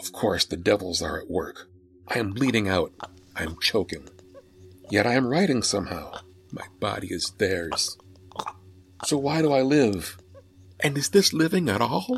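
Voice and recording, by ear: A man puts on a character voice with a slightly husky edge and a fairly low pitch. He goes at a fairly slow pace with big pitch swings and long, frequent pauses.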